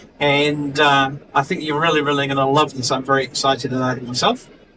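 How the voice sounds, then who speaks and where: This is a man speaking with a New Zealand accent. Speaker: technical support engineer and astro imager. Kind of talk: product presentation. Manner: hesitant, many fillers.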